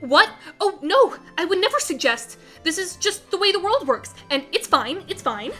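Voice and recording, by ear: A woman puts on a character voice pitched extremely high, with big swings in pitch and a fairly bright tone. She talks at a moderate pace over faint background music.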